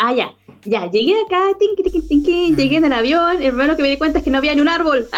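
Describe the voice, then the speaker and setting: A woman's high-pitched voice at a very fast pace, with noticeable background noise. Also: lively intonation, very even loudness. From southern Chile, La Unión. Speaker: podcast guest. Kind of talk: casual interview.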